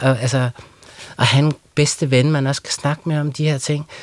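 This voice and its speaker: A man with a plain, everyday voice talks at a moderate pace, his pitch fairly high and his intonation fairly even. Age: 40s. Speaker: writer. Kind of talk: radio interview. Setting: studio.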